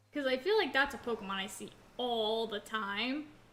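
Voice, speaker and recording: With noticeable background noise behind her, a woman speaks with lively intonation at a fairly high pitch. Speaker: gaming streamer. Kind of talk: live gameplay commentary. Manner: casual, filler-heavy.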